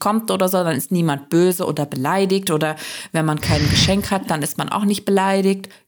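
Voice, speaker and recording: A woman's medium-pitched voice, a plain, everyday voice, with ordinary pitch variation. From Turkey. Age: 30s. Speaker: podcast host and co-host. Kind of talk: casual conversation.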